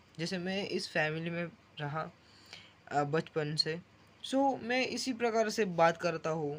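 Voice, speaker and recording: Speaking with a Marathi accent, a man uses lively intonation and a high pitch. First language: Marathi (speaking Hindi). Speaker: vlogger. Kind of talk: casual vlog monologue. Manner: halting, self-correcting.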